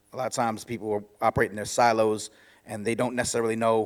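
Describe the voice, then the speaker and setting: The man talks at a very fast pace. His pitch sits in the medium range. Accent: New York. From New York City. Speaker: author and podcaster, former DJ. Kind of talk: conference talk. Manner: halting, many restarts.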